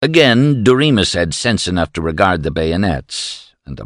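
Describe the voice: The text is read aloud plainly.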